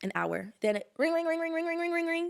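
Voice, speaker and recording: A woman talks at a very fast pace. Her pitch swings very widely. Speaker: storyteller recounting personal drama. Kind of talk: casual chat.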